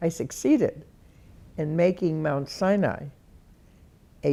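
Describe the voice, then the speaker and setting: A woman speaks at a fairly slow pace in a dark, mellow tone. Her voice shows vocal fry and ordinary pitch variation. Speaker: retired hospital CEO. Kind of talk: oral history interview answer.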